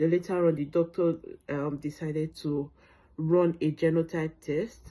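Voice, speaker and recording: A woman's very deep, low voice in a Nigerian accent, dark and mellow in tone, flat and monotone in intonation, over a quiet background. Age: 30s. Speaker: sickle cell patient sharing her story. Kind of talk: testimony. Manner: hesitant, many fillers.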